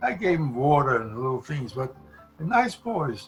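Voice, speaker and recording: A man with a New York accent at a moderate pace, music in the background. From The Bronx, New York. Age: 80s+. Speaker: comedy writer and performer. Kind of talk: interview answer.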